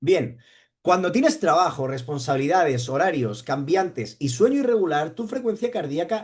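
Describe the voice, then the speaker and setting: A man with a high pitch and an animated tone speaks at a moderate pace, his pitch swinging very widely. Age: 40s. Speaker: running coach. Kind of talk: livestream talk.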